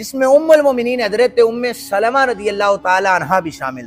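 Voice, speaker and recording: A man's high voice with lively intonation over music in the background. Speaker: Islamic scholar giving a lecture. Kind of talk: religious lecture retelling a historical story.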